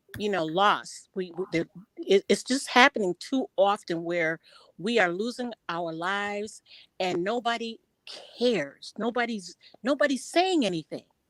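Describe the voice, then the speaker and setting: The sound is dry and close with no echo as a woman with a medium pitch talks at a fairly slow pace. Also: lively intonation. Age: 50s. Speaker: panelist on a commentary stream. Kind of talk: heated discussion. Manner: halting, repeating words.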